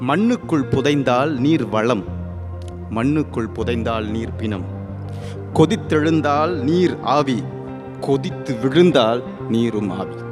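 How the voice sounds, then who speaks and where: With music playing in the background, a man speaks at a medium pitch with lively intonation. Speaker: spoken word poet. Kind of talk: spoken word poetry performance.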